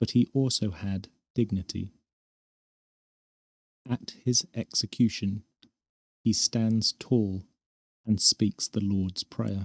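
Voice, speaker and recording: At a very slow pace with long, frequent pauses, a man speaks in a gentle, calm tone at a fairly low pitch, with fairly even intonation and a dry, close sound with no echo. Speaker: narrator of sleep-history stories. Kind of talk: sleep story, gentle historical narration. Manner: gentle, calm, slow.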